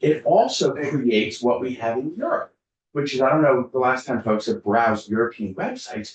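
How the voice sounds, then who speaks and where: A man with a plain, everyday voice speaks at a medium pitch and moderate pace, with ordinary pitch variation. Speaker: lawyer testifying as witness. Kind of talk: committee testimony. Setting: legislative committee hearing.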